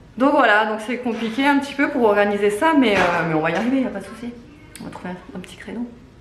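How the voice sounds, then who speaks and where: Fairly high-pitched, a woman talks at a fairly quick pace. Audible room echo and noticeable background noise surround her voice. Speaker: family vlogger. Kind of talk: casual vlog chat. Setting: at neighbours' home. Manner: hesitant, many fillers; speaking softly.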